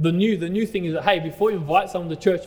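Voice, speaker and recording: In an Australian accent, a man talks at a high pitch, with noticeable background noise and audible room echo. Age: 30s. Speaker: pastor. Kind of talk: sermon. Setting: church.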